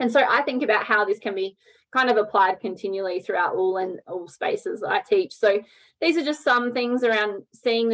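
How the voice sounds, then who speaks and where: A woman's fairly high voice with an Australian accent. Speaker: teacher. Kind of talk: online professional development presentation. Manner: fast.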